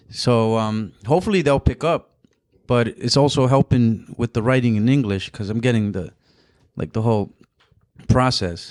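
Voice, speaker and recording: A man with a Spanish accent and a medium pitch speaks at a moderate pace with ordinary pitch variation and long, frequent pauses. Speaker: comedian and photographer. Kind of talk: casual chat. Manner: halting.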